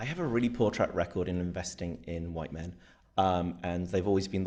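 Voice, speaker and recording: A man speaks with a British accent. His pace is moderate and his pitch variation ordinary. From Britain. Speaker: venture capital investor, panelist. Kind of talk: panel discussion.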